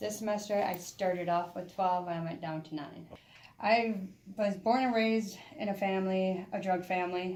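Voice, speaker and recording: A woman with a medium-pitched voice talks at a moderate pace with fairly even intonation, and audible room echo surrounds her. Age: 30s. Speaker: student and former homeless person. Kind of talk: interview testimony.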